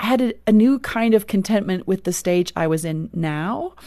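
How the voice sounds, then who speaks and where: In a South African accent, a woman speaks with a dark, mellow tone and ordinary pitch variation. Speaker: author and speaker. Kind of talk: interview conversation.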